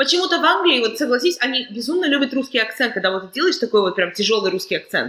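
A woman speaks very fast at a high pitch, her voice making very wide pitch swings. Noticeable background noise runs underneath. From Kazakhstan. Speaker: podcast host. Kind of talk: casual chat.

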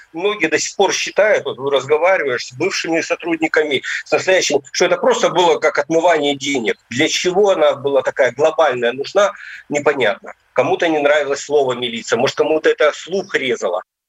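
The speaker has a plain, everyday voice with ordinary pitch variation and a fairly quick pace. The sound is dry and close, with no echo. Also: man, fairly high pitch for a man. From Novgorod region, Russia. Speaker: retired police officer. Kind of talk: interview testimony.

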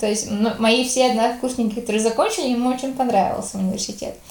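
High-pitched woman with a slight Latvian accent and fairly even intonation, with audible room echo and noticeable background noise. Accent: slight Latvian tinge in Russian. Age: 20s. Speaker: youth organization leader. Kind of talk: casual interview. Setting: call.

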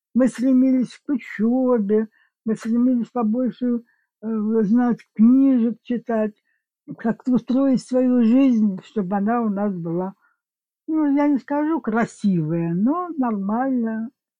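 Over music in the background, a woman speaks at a very slow pace with long, frequent pauses, a fairly high pitch and ordinary pitch variation. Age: 80s+. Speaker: grandmother, guest. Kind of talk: casual chat, interview.

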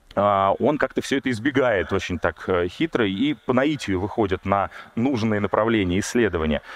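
A man with a normal speaking voice talks at a fairly low pitch and a moderate pace, his intonation lively and his loudness very even. The sound is dry and close, with no echo. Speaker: archaeologist. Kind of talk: public lecture. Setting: stage with audience.

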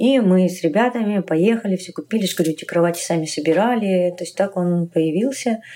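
Barely pausing, a woman speaks at a moderate pace in a dark, mellow tone with ordinary pitch variation. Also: medium pitch for a woman. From Tajikistan, later Kharkiv, Ukraine. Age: 40s. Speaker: LGBT rights activist. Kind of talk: interview.

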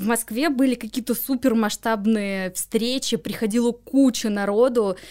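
A woman speaks in an ordinary speaking voice, fairly high in pitch with ordinary pitch variation, at a fairly slow pace. The recording is very clean, with a silent background. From Moscow, Russia. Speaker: swap event organizer. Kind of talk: casual interview.

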